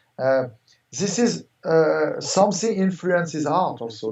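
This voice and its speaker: With a French accent, a man speaks at a high pitch with lively intonation. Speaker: art gallery owner. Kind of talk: interview. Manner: halting, many fillers.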